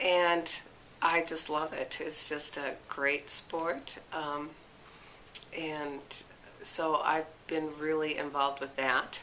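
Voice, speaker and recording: Against noticeable background noise, a woman with a very deep, low pitch speaks very slowly in a monotone, flat way, with long, frequent pauses. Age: 60s. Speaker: amateur athlete. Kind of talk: interview. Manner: casual, hesitant with fillers.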